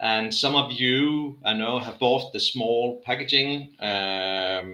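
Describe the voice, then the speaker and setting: With a Danish accent, a man speaks very slowly in a bright, sharp tone. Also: medium pitch for a man, ordinary pitch variation. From Denmark. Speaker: rum brand manager. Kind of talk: live tasting chat. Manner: halting.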